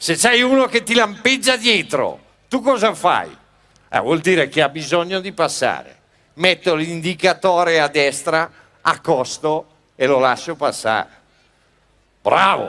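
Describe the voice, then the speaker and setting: On a very clean recording with a silent background, a man with a high, bright, sharp voice speaks at a fairly slow pace, his pitch swinging very widely between long, frequent pauses. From Sicily. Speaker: comedian. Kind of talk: cabaret comedy monologue.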